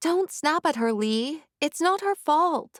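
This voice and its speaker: Quiet and fairly slow, a woman uses a put-on character voice pitched extremely high, with lively intonation and a dry, close sound with no echo. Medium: read story. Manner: quiet, succinct.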